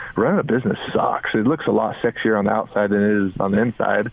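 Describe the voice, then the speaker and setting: An unremarkable speaking voice delivered at a moderate pace. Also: man. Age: 40s. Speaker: former basketball player and business owner. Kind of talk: radio interview.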